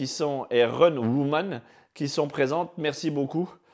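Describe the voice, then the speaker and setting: A man speaks at a fairly slow pace. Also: very clean recording, silent background. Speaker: fitness coach. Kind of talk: guided exercise class, live stream. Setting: home, live video broadcast. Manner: soft-spoken; calm, slow instructions. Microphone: mic close to mouth.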